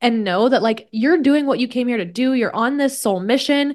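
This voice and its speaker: Against a quiet background, a woman with a Midwestern US accent talks with ordinary pitch variation. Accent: General American, Midwestern. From Kansas, US Midwest. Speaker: podcast host, wellness coach. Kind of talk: solo podcast monologue. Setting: at home desk. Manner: casual, animated.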